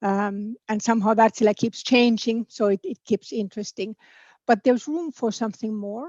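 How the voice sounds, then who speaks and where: A woman's fairly high voice in a Finnish accent, at a moderate pace with ordinary pitch variation, dry and close with no echo, against a quiet background. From Finland. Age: 50s. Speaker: political candidate. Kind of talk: interview. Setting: online video event. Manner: hesitant, repeats words.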